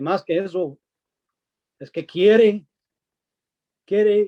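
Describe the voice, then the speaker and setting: A man speaks at a very slow pace in a high pitch with a dark, mellow tone, the sound dry and close with no echo. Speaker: preacher. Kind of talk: sermon.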